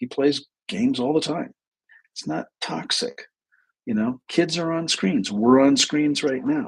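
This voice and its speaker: Speaking at a fairly slow pace, a man with a fairly high pitch moves through very wide pitch swings. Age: 60s. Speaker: therapist and livestream host. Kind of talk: live stream talk. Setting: live video stream. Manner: casual, conversational.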